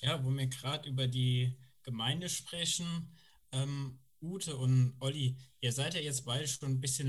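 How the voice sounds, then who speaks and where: A somewhat breathy man's voice, medium in pitch, at a fairly slow pace. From Koblenz, Germany. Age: 30s. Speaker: former youth worker. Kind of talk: casual group chat.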